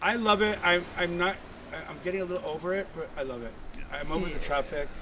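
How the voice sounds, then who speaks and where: Talking at a very fast clip, a man with a Miami accent uses a high pitch and ordinary pitch variation over noticeable background noise. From Miami, Florida. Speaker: nightclub door host. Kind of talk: casual chat. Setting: live from a hotel.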